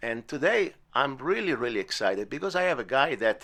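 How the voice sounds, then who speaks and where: A man with an Italian accent, a fairly high pitch, a bright, sharp tone and a moderate pace. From Italy. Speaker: podcast host and musician. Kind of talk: casual interview. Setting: home studio in bedroom. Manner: halting, many fillers.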